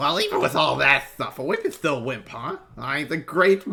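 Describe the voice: The speaker delivers plain reading aloud.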